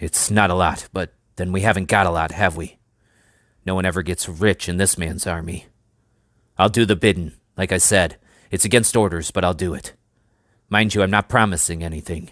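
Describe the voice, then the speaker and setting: A man's put-on, growling character voice with a very deep, low pitch, fairly even intonation, a fairly quick pace, and long, frequent pauses. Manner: gruff, conspiratorial.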